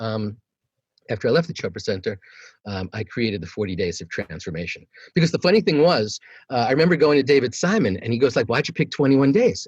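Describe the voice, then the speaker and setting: A man at medium pitch talks very fast with vocal fry and very wide pitch swings. The sound is dry and close with no echo, over a quiet background. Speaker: meditation teacher. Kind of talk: interview answer. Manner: casual, conversational.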